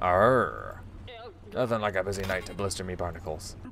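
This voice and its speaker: A put-on character voice speaks at a moderate pace. Clear background noise is present. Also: man, very deep, low pitch for a man. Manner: hammed up.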